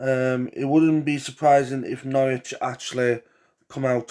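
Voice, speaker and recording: A man with an English accent speaks at a very slow pace and medium pitch. His intonation is monotone and flat. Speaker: football predictions youtuber. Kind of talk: casual solo commentary. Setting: home living room. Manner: hesitant, many fillers.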